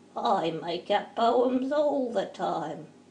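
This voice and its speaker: A female-sounding voice at medium pitch performs a put-on character voice. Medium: read story.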